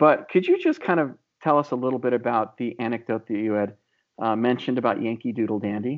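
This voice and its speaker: A man with an American accent and a medium pitch talks at a very fast pace. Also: ordinary pitch variation. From US, Illinois. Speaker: podcast host. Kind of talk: interview. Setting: video call.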